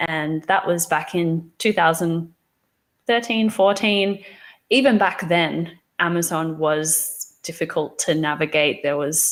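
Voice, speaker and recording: Speaking in an Australian accent at a fairly slow pace, a woman has a fairly low pitch and ordinary pitch variation. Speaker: company founder and webinar presenter. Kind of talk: webinar presentation. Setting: live online webinar. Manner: casual, many fillers and restarts.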